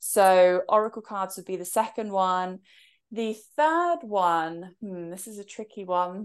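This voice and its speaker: A woman with an English accent speaks at a fairly slow pace, her loudness swinging widely and her pitch varying in an ordinary way over a quiet background. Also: medium pitch for a woman. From England. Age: 30s. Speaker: author and spiritual mentor. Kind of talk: casual interview chat.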